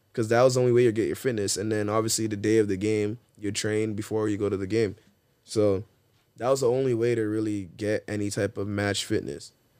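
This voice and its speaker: Fairly quick in pace, a man speaks in a dark, mellow tone at a fairly low pitch. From Ontario, Canada. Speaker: professional footballer. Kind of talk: casual chat. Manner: animated.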